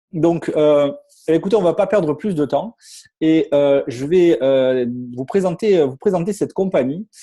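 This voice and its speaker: This man speaks with a Marseille accent, his fairly high voice carrying a dark, mellow tone. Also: ordinary pitch variation, fairly slow pace. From southern France, Marseille. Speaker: network marketing distributor. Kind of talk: sales pitch. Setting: online webinar with screen share. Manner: halting, many fillers and repetitions.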